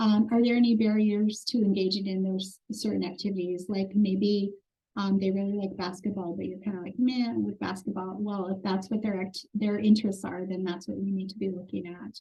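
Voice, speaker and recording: A woman speaks fairly quickly with hardly any pauses, her medium-pitched voice somewhat breathy and dark and mellow in tone, in a monotone, flat intonation. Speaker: foster care trainer. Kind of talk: training webinar. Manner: fast.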